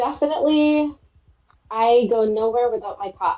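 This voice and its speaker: A fairly high-pitched woman's voice with a Minnesotan accent, ordinary pitch variation and a fairly slow pace. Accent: Minnesota. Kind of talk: casual chat.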